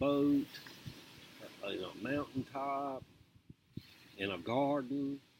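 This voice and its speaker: A man at a medium pitch, speaking at a fairly slow pace. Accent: Southern US. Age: 60s. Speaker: video blogger. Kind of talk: casual monologue. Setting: outdoors.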